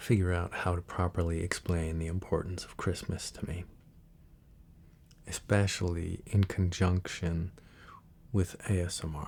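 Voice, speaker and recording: On a very clean recording with a silent background, a soft-spoken man with a very deep, low pitch talks at a fairly slow pace in a somewhat breathy, monotone, flat voice, with big swings in loudness and long, frequent pauses. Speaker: ASMR creator. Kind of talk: casual talk to camera.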